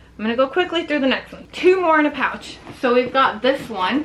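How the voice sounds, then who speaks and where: Noticeable background noise sits under speech that moves at a fairly quick pace. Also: woman. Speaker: fashion vlogger. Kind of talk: casual show-and-tell video. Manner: fast; animated.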